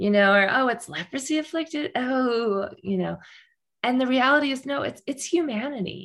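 A woman with an American accent speaks in a high voice with lively intonation at a moderate pace. The recording is very clean, over a silent background. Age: 50s. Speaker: nonprofit founder and coach. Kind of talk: interview.

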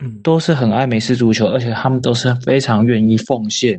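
In a normal speaking voice, a man talks at a medium pitch and a fairly quick pace. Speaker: American football player. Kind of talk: interview.

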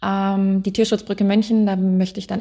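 A woman's medium-pitched, dark, mellow, somewhat breathy voice in a flat monotone at a fairly quick pace, on a very clean recording with a silent background. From western Germany, Wuppertal (NRW). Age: 30s. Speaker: animal welfare volunteer. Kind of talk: interview. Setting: animal shelter in Romania.

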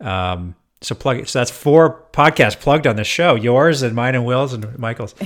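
A man with a Canadian accent speaks at a moderate pace in an ordinary speaking voice. The recording is very clean, with a silent background. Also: medium pitch for a man, ordinary pitch variation. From Canada, Edmonton, Alberta. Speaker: hotel operations consultant. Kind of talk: casual interview chat.

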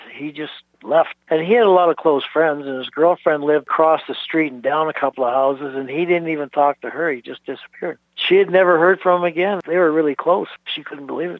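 A man's plain, everyday voice, fairly high in pitch, at a fairly quick pace with hardly any pauses, fairly even intonation and big swings in loudness. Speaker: childhood neighbour of missing person. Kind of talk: casual reminiscing interview.

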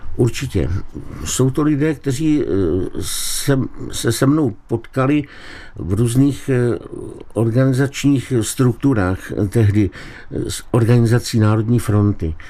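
A man's medium-pitched voice at a very slow pace, with ordinary pitch variation and long, frequent pauses. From Czechia, Liberec region. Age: 70s. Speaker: writer and collector. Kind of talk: radio interview.

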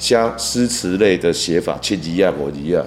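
Lively intonation marks a man's moderate-paced speech in a Taiwanese accent. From Taiwan, Tainan. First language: Taiwanese Hokkien (speaking Chinese). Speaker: veteran songwriter and music producer. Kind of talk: interview. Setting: studio.

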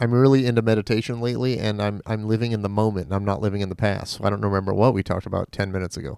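A man's fairly low voice at a very fast pace with hardly any pauses and ordinary pitch variation, on a very clean recording with a silent background. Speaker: podcast co-host. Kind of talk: casual chat.

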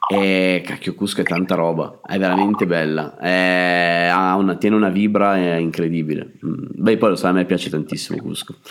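Noticeable background noise sits behind a man whose very deep, low voice keeps a fairly even intonation. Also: moderate pace. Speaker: travel podcast host. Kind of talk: casual interview.

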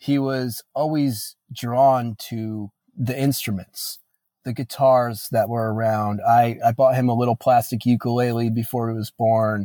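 A man's dark, mellow voice at medium pitch and a fairly slow pace, dry and close with no echo, in a very clean recording with a silent background. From Northeast Pennsylvania. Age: 20s. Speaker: musician and father. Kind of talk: interview conversation.

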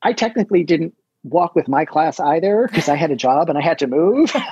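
With lively intonation, a man speaks in a high pitch through a dark, mellow tone. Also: dry, close sound with no echo. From New Jersey. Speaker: publicist. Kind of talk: interview.

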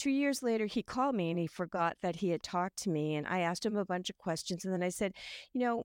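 This woman has an ordinary speaking voice with a medium pitch, delivered at a fairly quick pace. The sound is dry and close, without echo. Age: 60s. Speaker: home staging coach. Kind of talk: casual interview chat.

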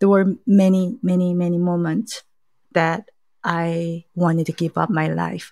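A woman speaks in a Korean accent at a medium pitch. Her tone is dark and mellow, and her pace is fairly slow. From South Korea. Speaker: journalist. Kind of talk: interview testimony. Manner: halting.

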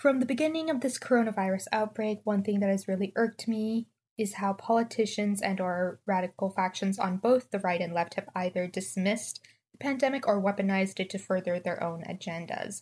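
On a very clean recording with a silent background, a woman speaks at a fairly quick pace in a somewhat breathy voice. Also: medium pitch for a woman, ordinary pitch variation. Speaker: listener sending audio question. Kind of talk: prepared monologue. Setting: recorded audio message.

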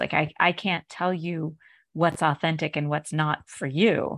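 A woman has a normal speaking voice at a fairly low pitch. The background is quiet. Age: 50s. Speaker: podcast host. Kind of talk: interview.

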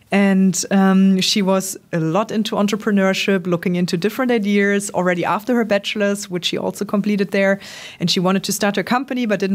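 A woman talks at a fairly quick pace with hardly any pauses, in a German accent. Her pitch is medium and her intonation fairly even. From Germany, Trier. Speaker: startup founder. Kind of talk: interview. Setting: office. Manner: hesitant, many ums.

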